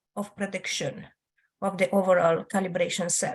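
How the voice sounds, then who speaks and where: A woman speaks in a somewhat breathy voice. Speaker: audience member asking question. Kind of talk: Q&A comment.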